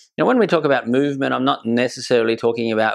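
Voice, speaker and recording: In an Australian accent, a man speaks at a medium pitch with ordinary pitch variation. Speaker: horse trainer. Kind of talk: educational talk.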